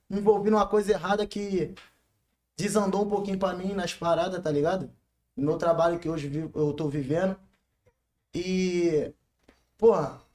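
A man's high-pitched voice in a Carioca accent, fairly even in intonation, at a moderate pace with long, frequent pauses. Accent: carioca Brazilian Portuguese. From Rio de Janeiro. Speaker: funk MC. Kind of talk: casual interview.

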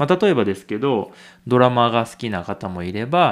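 The recording is very clean with a silent background. A man talks at a moderate pace in a medium pitch, with very wide pitch swings. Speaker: podcast host. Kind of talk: casual monologue for language learners.

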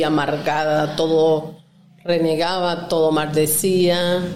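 At a very slow pace, a woman speaks in a fairly low pitch amid audible room echo. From Venezuela, Lara state. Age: 40s. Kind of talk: testimony.

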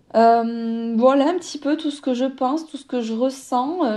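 A woman's high-pitched voice with a dark, mellow tone at a very slow pace. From southern France, Toulouse. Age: 30s. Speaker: podcaster. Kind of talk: personal monologue, like a voice note. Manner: spontaneous, hesitant with many fillers.

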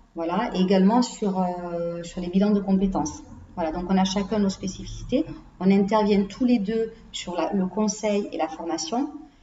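A woman talks at a moderate pace with a medium pitch and ordinary pitch variation over noticeable background noise. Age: 40s. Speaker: HR consultant. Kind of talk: interview. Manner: hesitant, many fillers.

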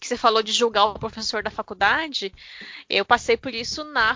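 This woman has an unremarkable speaking voice with fairly high pitch. She talks at a moderate pace. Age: 30s. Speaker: teacher. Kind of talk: casual chat.

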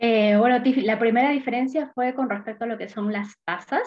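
A woman uses a normal speaking voice, moving at a moderate pace with ordinary pitch variation. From Peru. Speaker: investment specialist, former banker. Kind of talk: interview explanation.

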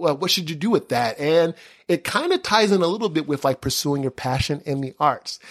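A man with lively intonation at a moderate pace. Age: 30s. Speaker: podcast host. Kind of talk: casual chat. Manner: animated.

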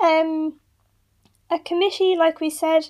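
Fairly slow speech in an Irish accent. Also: woman. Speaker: radio host. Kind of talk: casual chat.

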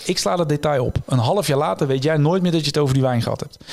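Speaking at a very fast pace, a man keeps his pitch variation ordinary. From Netherlands, North Brabant (Tilburg area). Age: 30s. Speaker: illusionist and author. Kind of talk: interview.

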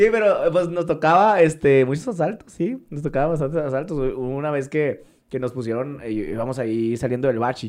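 A man's fairly high voice with lively intonation, at a moderate pace with hardly any pauses, over a quiet background. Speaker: TV host, radio announcer and actor. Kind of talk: casual chat.

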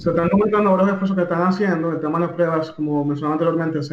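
Over noticeable background noise, a man with a fairly high pitch rattles along at a very fast pace in a monotone, flat intonation. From Dominican Republic. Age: young. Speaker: technology official and AI entrepreneur. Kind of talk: radio interview.

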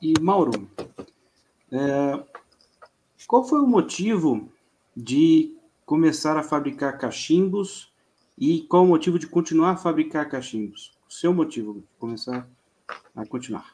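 A man with a fairly high pitch and a dark, mellow tone speaks at a fairly slow pace. His intonation is lively, and he takes long, frequent pauses. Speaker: podcast host. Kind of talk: casual chat.

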